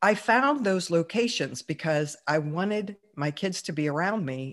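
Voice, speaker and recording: An ordinary speaking voice from a woman, fairly low in pitch, with an American accent, lively intonation and a quiet background. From Pittsburgh, US. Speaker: entrepreneur. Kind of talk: interview.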